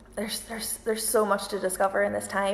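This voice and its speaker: Through noticeable background noise, a woman speaks at a medium pitch in a monotone, flat intonation. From Northern Ireland, County Antrim. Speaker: violinist and singer-group musician. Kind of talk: casual Q&A livestream.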